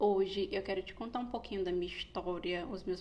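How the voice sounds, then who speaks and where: A woman with a medium pitch speaks with vocal fry. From Brazil, Pernambuco and Rio de Janeiro. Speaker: psychologist. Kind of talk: podcast monologue, personal story.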